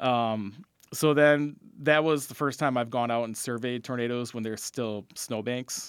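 The recording is very clean with a silent background. A man with an ordinary speaking voice talks at medium pitch and a moderate pace, his intonation fairly even. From Wisconsin, Fond du Lac. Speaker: meteorologist. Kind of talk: radio interview.

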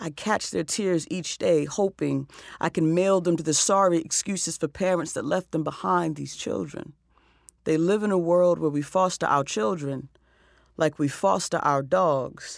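A woman with an American accent speaks at a moderate pace, her fairly low voice showing ordinary pitch variation, on a very clean recording with a silent background. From US South. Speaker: social worker and poet, nonprofit co-founder. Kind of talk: radio interview. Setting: studio.

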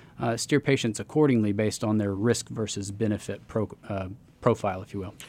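A man with an ordinary speaking voice talks at a fairly quick pace in a fairly low pitch, his loudness swinging a lot. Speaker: neurologist. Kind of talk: interview. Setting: studio.

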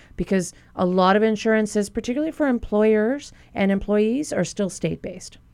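A woman's normal speaking voice, fairly high in pitch, at a fairly quick pace, with ordinary pitch variation and very even loudness. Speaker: physician. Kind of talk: expert Q&A on radio call-in show. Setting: radio studio.

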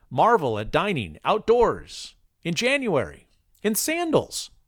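With an American accent, a man speaks with vocal fry and very wide pitch swings. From Chicago area, US Midwest. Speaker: public radio host. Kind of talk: scripted narration; radio call-in show.

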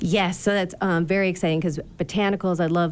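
Talking at a fairly quick pace, a woman with an ordinary speaking voice has a fairly low pitch. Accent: American. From Michigan. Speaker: distillery co-owner. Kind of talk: radio interview. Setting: studio.

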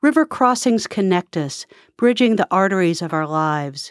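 In a very clean recording with a silent background and a dry, close sound with no echo, a woman with an American accent speaks at a fairly slow pace and medium pitch in a plain, everyday voice. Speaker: poet laureate. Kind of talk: poetry reading, spoken word, measured and lyrical. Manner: measured, rhythmic, expressive.

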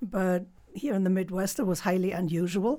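A speaker with a German accent. The recording is very clean, with a silent background. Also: woman. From Germany. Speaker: author and former hog farmer. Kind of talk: interview.

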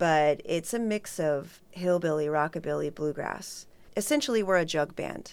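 The speaker has a plain, everyday voice with ordinary pitch variation at a moderate pace. The recording is very clean, with a silent background. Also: woman, fairly low pitch for a woman. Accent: American. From Redlands, California. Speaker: event organizer and DJ. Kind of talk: radio interview.

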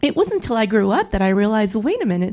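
A woman speaks with an American accent and a dark, mellow tone. Her fairly high voice moves in very wide pitch swings. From San Antonio, Texas (West Side). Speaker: cultural historian. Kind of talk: panel discussion.

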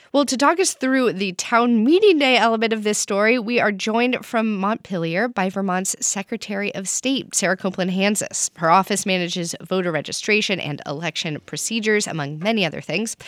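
Speaking at a fairly quick pace with hardly any pauses, a woman has an unremarkable speaking voice with medium pitch and lively intonation. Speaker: public radio talk show host. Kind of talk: radio call-in discussion. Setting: radio studio.

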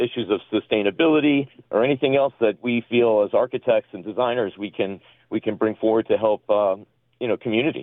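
A man with an American accent has a normal speaking voice of medium pitch. He moves at a fairly quick pace with ordinary pitch variation. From US East Coast. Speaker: architect. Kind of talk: radio interview.

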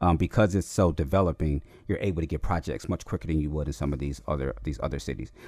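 A man with an American accent speaks at a very fast pace in a very deep, low pitch. Vocal fry runs through his delivery, with ordinary pitch variation. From Chicago West Side, US. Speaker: architect and artist, professor. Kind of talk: interview conversation.

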